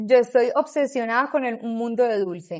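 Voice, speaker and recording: A woman's high-pitched voice moves at a moderate pace with ordinary pitch variation. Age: 30s. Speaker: pastry chef and bakery owner. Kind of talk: interview, casual chat.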